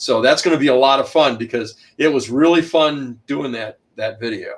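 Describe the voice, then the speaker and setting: Moderate speed and ordinary pitch movement from a male speaker. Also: fairly high pitch for a man. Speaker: author and historian. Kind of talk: interview. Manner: loud.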